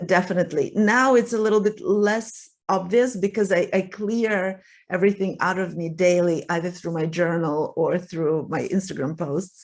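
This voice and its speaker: A woman's medium-pitched voice with a Russian accent, at a moderate pace with ordinary pitch variation. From Russia (Soviet Union). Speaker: writer and relationship coach. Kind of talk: interview conversation. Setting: podcast interview.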